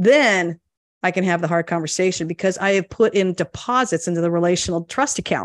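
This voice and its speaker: A woman with a plain, everyday voice speaks at a fairly quick pace and medium pitch, with ordinary pitch variation, in a dry, close sound with no echo against a quiet background. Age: 50s. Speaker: leadership coach. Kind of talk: interview conversation.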